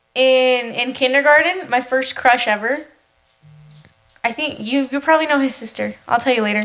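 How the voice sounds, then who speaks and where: At a moderate pace, a woman speaks in an animated tone at a high pitch. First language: Spanish. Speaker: podcast co-host. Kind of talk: casual chat.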